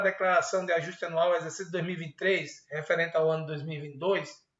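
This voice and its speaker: A man's voice with audible room echo. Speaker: university accounting professor. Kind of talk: online lecture / tutorial. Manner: fast; casual, conversational.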